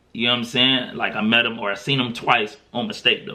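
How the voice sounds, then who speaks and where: This man talks fairly fast with ordinary pitch variation while noticeable background noise plays underneath. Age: 30s. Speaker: podcast host. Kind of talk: casual chat. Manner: conversational, with many fillers.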